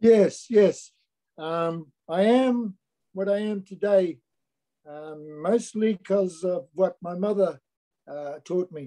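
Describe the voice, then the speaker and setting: At a very slow pace with long, frequent pauses, a man speaks high for his sex in a dark, mellow tone, with ordinary pitch variation, big swings in loudness and a dry, close sound with no echo. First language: Niuean. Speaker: musician and activist. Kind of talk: interview. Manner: hesitant, with frequent um fillers.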